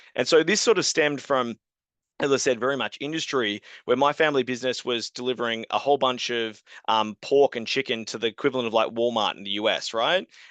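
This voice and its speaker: In an Australian accent, a man talks at a very fast pace, the sound dry and close with no echo. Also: medium pitch for a man, ordinary pitch variation, quiet background. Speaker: software company co-founder. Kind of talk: webinar product presentation.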